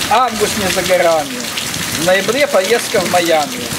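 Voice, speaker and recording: Loud background noise fills the clip. A man speaks at a fairly slow pace. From Odesa, Ukraine. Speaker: poet. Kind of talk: satirical poetry reading. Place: waterside. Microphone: headset.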